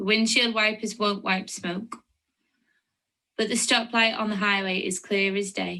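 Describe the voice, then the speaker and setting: A woman with a Lancashire accent has a bright, sharp tone at a medium pitch. Her intonation is fairly even and her pace moderate. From Lancashire, northern England. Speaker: poet. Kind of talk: poetry reading.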